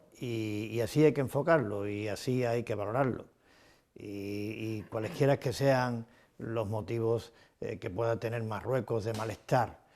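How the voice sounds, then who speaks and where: On a very clean recording with a silent background, a man has an unremarkable speaking voice, a medium pitch and fairly even intonation. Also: fairly slow pace. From Ceuta, Spain. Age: 60s. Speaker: city president, politician. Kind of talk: interview. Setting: office. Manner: formal.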